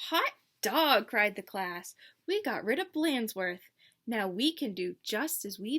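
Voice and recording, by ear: Someone is reading aloud in a natural voice, with a quiet background behind.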